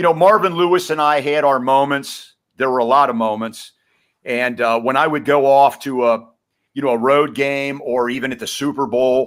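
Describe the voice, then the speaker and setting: A man with a fairly high pitch and an unremarkable speaking voice talks at a moderate pace with ordinary pitch variation, in a very clean recording with a silent background. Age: 60s. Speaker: retired sports writer and radio commentator. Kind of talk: podcast interview.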